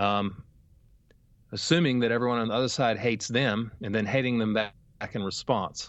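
A man's fairly quick, medium-pitched speech with fairly even intonation. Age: 40s. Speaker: theology professor. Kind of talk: interview.

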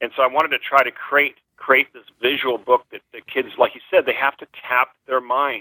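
Speaking at a moderate pace with an American accent, the voice stays monotone and flat in intonation while its loudness swings widely. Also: man, medium pitch for a man. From California. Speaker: children's author. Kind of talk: interview.

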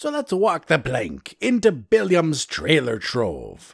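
At a fairly slow pace, a man does a put-on character voice pitched fairly high. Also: very clean recording, silent background. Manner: exaggerated, comedic.

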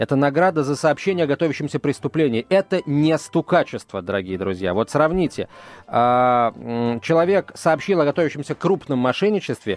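Swinging very widely in pitch, a man with a fairly high voice speaks at a moderate pace in a dry, close sound without echo. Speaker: radio host. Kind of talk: casual chat. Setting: studio. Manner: halting.

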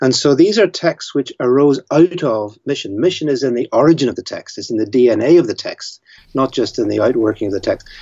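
Talking at a fairly quick pace with hardly any pauses, a man with a Northern Irish accent uses lively intonation and a fairly high pitch. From Northern Ireland. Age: 70s. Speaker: theologian and author. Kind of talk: interview.

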